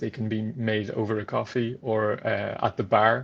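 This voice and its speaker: A man in an Irish accent, medium-pitched and in a monotone, flat intonation, over a quiet background. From France. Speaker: trainee solicitor. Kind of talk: interview conversation.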